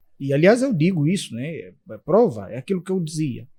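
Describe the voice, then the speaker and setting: A man talks at a moderate pace in a plain, everyday voice. His pitch is fairly high and his intonation lively. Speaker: interpreter and translator. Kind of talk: podcast interview.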